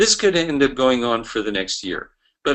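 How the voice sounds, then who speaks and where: A man talks at medium pitch, keeping a moderate pace. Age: 60s. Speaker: network marketing trainer. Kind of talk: motivational business training talk. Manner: animated.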